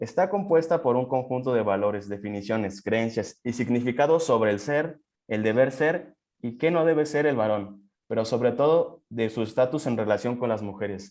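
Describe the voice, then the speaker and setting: An unremarkable speaking voice from a man at medium pitch, with lively intonation and a moderate pace. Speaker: student presenter. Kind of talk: seminar presentation.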